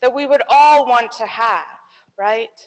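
A woman's high voice with lively intonation over a quiet background. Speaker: pastor. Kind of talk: sermon. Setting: church. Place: church. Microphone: handheld.

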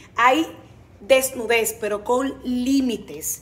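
A woman's high-pitched voice with a Dominican accent. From Dominican Republic. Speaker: TV comedy actress and presenter; TV comedy actress, presenter. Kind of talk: interview. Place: studio. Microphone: phone near.

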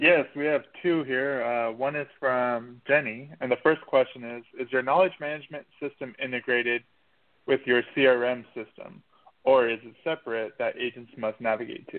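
With an unremarkable speaking voice, a man talks at a moderate pace, his loudness swinging widely while his intonation stays fairly even. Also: medium pitch for a man. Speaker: show announcer. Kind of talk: scripted announcement.

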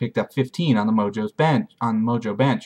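Behind a man's speech, the background remains quiet. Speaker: fantasy league recap host. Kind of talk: sports commentary recap. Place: home room. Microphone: webcam.

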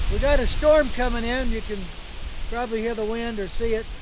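Against noticeable background noise, a man talks at a moderate pace in an extremely high pitch, his intonation monotone and flat, the sound dry with no echo. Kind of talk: casual tutorial vlog. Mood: relaxed, chuckling. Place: forest.

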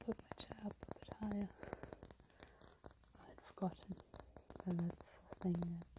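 A whispering woman at a moderate pace, her loudness swinging widely, with long, frequent pauses. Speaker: ASMR creator. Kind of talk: ASMR video. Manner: soft-spoken. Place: home room. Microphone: earbuds.

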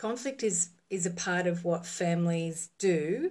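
A woman talks in a fairly low pitch, somewhat breathy. The background is quiet. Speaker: relationship coach. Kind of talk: casual live-stream talk. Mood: calm, reflective. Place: home room. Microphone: phone near.

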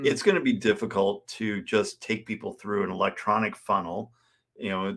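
The speaker moves at a fairly quick pace against a quiet background. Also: man. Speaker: sales coach guest. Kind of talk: interview answer. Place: home room.

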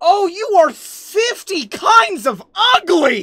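Shouting in a put-on character voice, the speaker goes very slowly at an extremely high pitch with very wide pitch swings. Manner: yelling, insulting.

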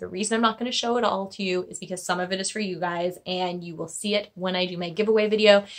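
A woman speaks at a very fast pace with fairly even intonation over a quiet background. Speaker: beauty vlogger. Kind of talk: casual vlog chat. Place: home room. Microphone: phone near.

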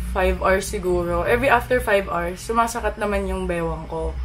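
Speech from a woman, backed by music. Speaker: vlogger. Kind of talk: casual vlog chat. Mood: playful, animated. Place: home room.

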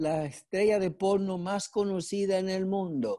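Against a quiet background, a man talks at a fairly slow pace. His voice is high-pitched, with a dark, mellow tone. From Dominican Republic. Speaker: actor. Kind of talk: interview. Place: home room. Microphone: earbuds.

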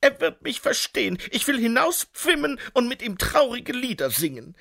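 In a dry, close recording with no echo, a man talks in a gentle, soothing tone. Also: very clean recording, silent background. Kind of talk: audiobook narration of a children's fantasy story. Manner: gentle storyteller's cadence, slow and soothing, with playful character voices.

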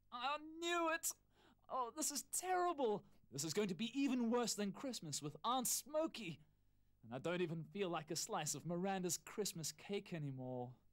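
A put-on character voice sits at a middle pitch with a whiny tone and very wide pitch swings. It sounds whiny and moves at a moderate pace. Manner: worried, whiny.

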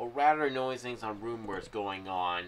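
Ordinary pitch variation at a moderate pace. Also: man.

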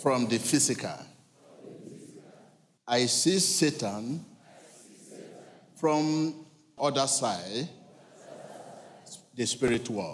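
At a very slow pace with long, frequent pauses, a man speaks with lively intonation over light background noise. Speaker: preacher leading a church service. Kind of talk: sermon delivered to a congregation. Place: church. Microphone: handheld.

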